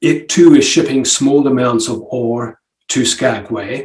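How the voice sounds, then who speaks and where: Somewhat breathy, a man speaks at a fairly slow pace. His pitch is medium with ordinary variation. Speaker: environmental mining analyst. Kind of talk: presentation. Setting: remote video call to public meeting. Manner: hesitant, many fillers.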